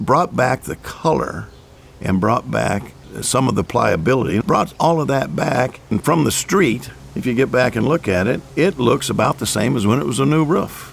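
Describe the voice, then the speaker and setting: Noticeable background noise sits behind this man's voice. He speaks at a moderate pace and medium pitch with lively intonation. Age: 70s. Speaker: homeowner. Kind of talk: testimony. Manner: halting.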